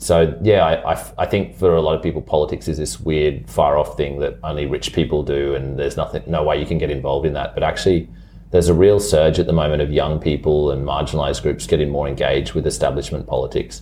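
Over noticeable background noise, a man with an Australian accent and a very deep, low pitch talks at a very fast pace with hardly any pauses. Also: ordinary pitch variation. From Brisbane, Australia. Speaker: city councillor. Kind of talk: interview.

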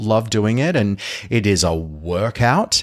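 In an Australian accent, a man speaks at a medium pitch with lively intonation. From Sydney, Australia. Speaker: musical theatre performer. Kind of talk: casual chat. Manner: halting.

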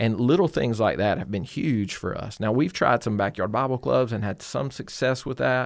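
With a Georgia accent, a man at medium pitch speaks with vocal fry and lively intonation. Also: moderate pace, hardly any pauses, very clean recording, silent background. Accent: US Southern (Georgia). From Georgia, small town south of Atlanta. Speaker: pastor. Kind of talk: casual interview.

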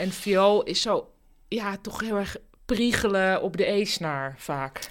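At a very slow pace, a woman talks at a medium pitch with ordinary pitch variation, in a very clean recording with a silent background. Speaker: podcast host. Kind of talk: interview. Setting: home office.

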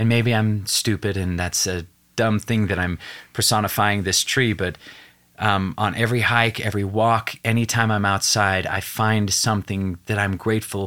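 A man with a fairly low pitch speaks in a flat monotone with a bright, sharp tone. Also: moderate pace. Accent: American. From Wyoming, US. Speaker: actor and TV host. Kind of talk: casual interview chat. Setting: studio.

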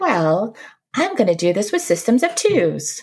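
A female-sounding put-on character voice is pitched at a medium level for a woman. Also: moderate pace. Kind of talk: professorial, explanatory.

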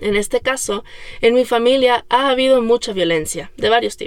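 This woman has a fairly high pitch and ordinary pitch variation at a moderate pace. Hers is an unremarkable speaking voice. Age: 30s. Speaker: podcast host. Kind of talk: personal monologue.

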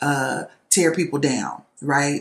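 Her pitch very deep and low, a woman speaks at a very slow pace. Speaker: podcast host and nurse. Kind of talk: solo monologue podcast. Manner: loud; casual, many fillers.

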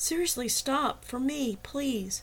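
A woman speaks slowly in a put-on character voice, high-pitched and fairly bright, with lively intonation.

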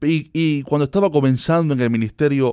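At a fairly slow pace, a man talks with ordinary pitch variation in a dry, close sound with no echo. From Cuba. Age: 20s. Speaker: preacher and podcast host. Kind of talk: sermon-style monologue.

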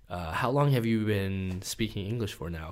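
A man with an American accent speaks in a normal speaking voice at a fairly low pitch. His pace is moderate, with ordinary pitch variation. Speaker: podcast host. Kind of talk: casual interview.

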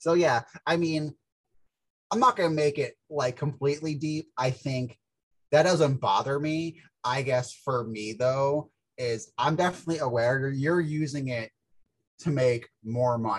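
A man speaks at a fairly high pitch with ordinary pitch variation and a somewhat breathy sound. He leaves long, frequent pauses. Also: fairly slow pace. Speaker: peer podcast co-host. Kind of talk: casual chat. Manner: soft-spoken; hesitant, many fillers.

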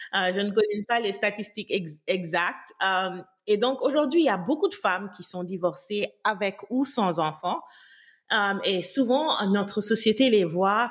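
Against a silent background on a very clean recording, a woman with an ordinary speaking voice talks at a fairly slow pace, her medium pitch showing ordinary variation. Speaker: podcast host. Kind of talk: casual chat.

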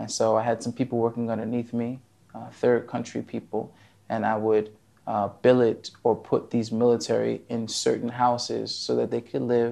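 Against a quiet background, a man with an American accent speaks at a moderate pace in a dark, mellow, monotone, flat voice. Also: medium pitch for a man. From New Jersey, US. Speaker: IT engineer and author. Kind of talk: interview. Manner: halting.

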